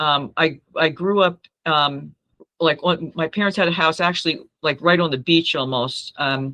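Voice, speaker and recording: Speaking at a moderate pace in an American accent, a woman has a very deep, low pitch and ordinary pitch variation. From New Jersey. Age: 70s. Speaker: masters swimmer. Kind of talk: interview.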